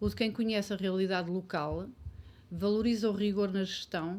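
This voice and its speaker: A woman with a normal speaking voice talks at a medium pitch and a moderate pace, her intonation fairly even. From Portugal, Ferreira do Zêzere area. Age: 50s. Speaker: local election candidate. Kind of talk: election debate.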